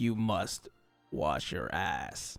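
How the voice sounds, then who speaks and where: A man puts on a character voice while faint music plays in the background. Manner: forced masculine.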